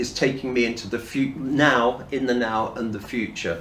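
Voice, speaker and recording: Fairly slow speech from a man with a British accent, with audible room echo. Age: 60s. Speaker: person in addiction recovery. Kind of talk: personal testimony. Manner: halting, with fillers and restarts.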